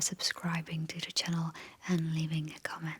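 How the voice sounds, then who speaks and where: The speaker is a woman with a fairly low pitch. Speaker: makeup ASMR creator. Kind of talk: ASMR makeup tutorial. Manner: soft-spoken, slow.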